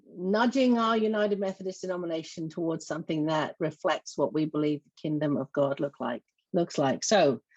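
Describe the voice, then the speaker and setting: In an English accent, a woman talks at a fairly quick pace with fairly low pitch, lively intonation and big swings in loudness, the sound dry and close without echo against a quiet background. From southeast England. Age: 50s. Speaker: church organizer and lay minister. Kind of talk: panel testimony. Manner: halting, many fillers.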